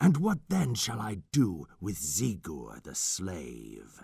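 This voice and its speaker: A put-on character voice growls at a very slow pace. Its loudness swings widely. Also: man, very deep, low pitch for a man. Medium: read story. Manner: archaic, imperious.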